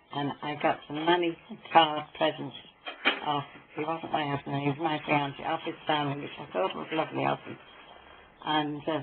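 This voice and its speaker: A woman's very deep, low voice in a Norfolk accent, monotone and flat at a moderate pace, with noticeable background noise. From Norfolk, England. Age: 80s+. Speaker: Second World War veteran. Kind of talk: interview answer.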